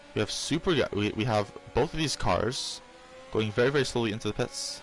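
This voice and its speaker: Over music in the background, a soft-spoken man talks at a fairly quick pace, his medium pitch showing ordinary variation. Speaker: sim racing league commentator. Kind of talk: live commentary. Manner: hesitant, many fillers.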